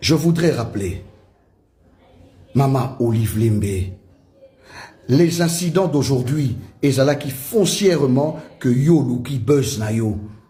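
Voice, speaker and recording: Amid noticeable background noise and audible room echo, a man of medium pitch speaks very slowly with lively intonation and long, frequent pauses. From DR Congo, Kinshasa. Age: 40s. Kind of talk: political statement to camera.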